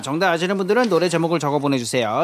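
A man's voice over noticeable background noise. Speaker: music corner guest. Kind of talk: casual chat. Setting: studio.

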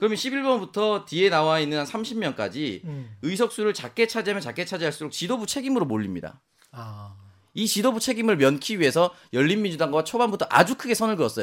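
A man talks at a fairly quick pace in a high voice with very wide pitch swings. The recording is very clean with a silent background. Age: young. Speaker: political commentator. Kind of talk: political discussion.

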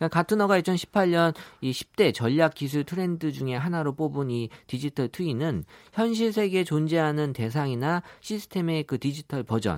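With a normal speaking voice, a man talks in a fairly high pitch and lively intonation, recorded very cleanly over a silent background with a dry, close sound and no echo. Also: moderate pace. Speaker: big data analyst, company executive. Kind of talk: radio interview.

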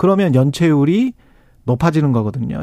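A man's voice with very wide pitch swings, recorded dry and close with no echo. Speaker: radio host and journalist. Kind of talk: radio current affairs show. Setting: studio.

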